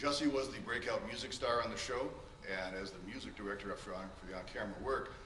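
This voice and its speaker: There is audible room echo and noticeable background noise. A man talks very fast at medium pitch. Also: ordinary pitch variation. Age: 60s. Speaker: character witness, music director. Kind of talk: court testimony. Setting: courtroom.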